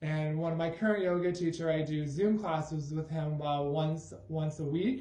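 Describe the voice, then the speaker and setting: Against audible room echo, a man with an American accent speaks at a moderate pace with fairly high pitch and fairly even intonation. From Michigan, Grand Rapids. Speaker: high school math teacher. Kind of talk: casual self-introduction video.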